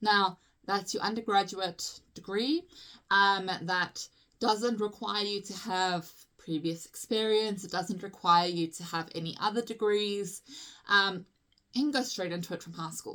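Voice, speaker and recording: In a South African accent, a woman speaks at medium pitch and a fairly slow pace with a bright, sharp tone, ordinary pitch variation, and big swings in loudness on a very clean recording with a silent background. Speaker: physiotherapist. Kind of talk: tutorial. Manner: casual, chatty with frequent fillers.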